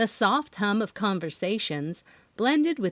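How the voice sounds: The voice is a natural reading voice. It runs from start to finish.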